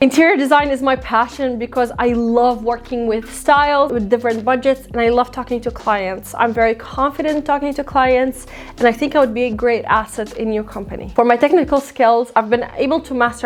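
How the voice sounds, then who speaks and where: A woman with an Arabic accent and a high voice speaks at a moderate pace. Her intonation is fairly even, and she hardly pauses. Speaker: interior designer and YouTuber; YouTuber. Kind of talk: tutorial. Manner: casual, conversational. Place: home room. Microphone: lapel.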